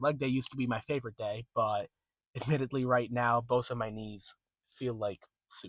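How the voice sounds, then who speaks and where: Recorded dry and up close, the audio carries no echo. The voice belongs to a man. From New England. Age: 20s. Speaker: vlogger. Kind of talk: casual vlog monologue. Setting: in a car.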